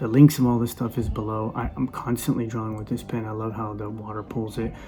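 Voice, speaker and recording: Music plays in the background as a man at a medium pitch speaks very fast with fairly even intonation. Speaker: artist. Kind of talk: tutorial. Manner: casual, halting with fillers.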